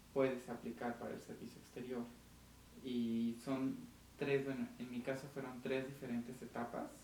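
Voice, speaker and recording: A man in a Mexican accent, medium pitch, monotone, flat intonation and moderate pace, with noticeable background noise. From Mexico (Aguascalientes). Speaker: diplomat. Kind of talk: interview.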